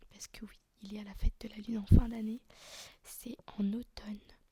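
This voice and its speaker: A soft-spoken, relaxed man with a high pitch, flat monotone intonation and a moderate pace. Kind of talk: casual talk to camera. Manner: soft-spoken, relaxed, chatty.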